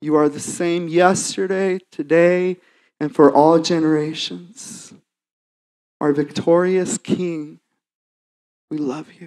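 A very slow pace broken by long, frequent pauses. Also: quiet background. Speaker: worship leader. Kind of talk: prayer. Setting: church. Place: church. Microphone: handheld.

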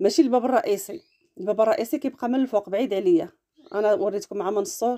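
A woman talks at a very fast pace. Her tone is dark and mellow. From Morocco, Larache (northern Morocco); Morocco. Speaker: cooking and lifestyle vlogger; lifestyle vlogger. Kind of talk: travel vlog narration. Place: open country. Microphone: phone near.

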